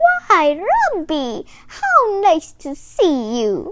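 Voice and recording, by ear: This put-on character voice has a fairly bright tone and very wide pitch swings. It moves at a very slow pace.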